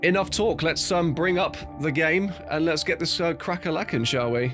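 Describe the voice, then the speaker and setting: A man speaks with faint music in the background. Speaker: live streamer. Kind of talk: casual stream chat. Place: home room. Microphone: studio mic.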